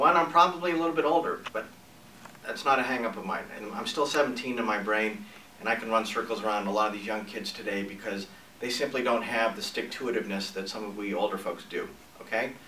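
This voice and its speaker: A man speaks very fast at medium pitch in an American accent, with ordinary pitch variation. Background noise is noticeable, and the room echo is audible. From New England and Northern California. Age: 60s. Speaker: entrepreneur and newspaper publisher. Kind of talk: personal pitch video.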